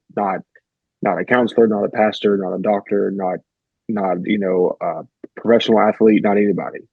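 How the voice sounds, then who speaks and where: A man's fairly low voice with a Southern US accent at a moderate pace. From US South, rural. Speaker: therapist. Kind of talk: interview conversation.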